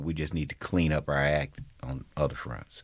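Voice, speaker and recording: Against a quiet background, a man talks with a Southern US accent. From Mississippi (Natchez). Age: 50s. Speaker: state legislator. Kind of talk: interview.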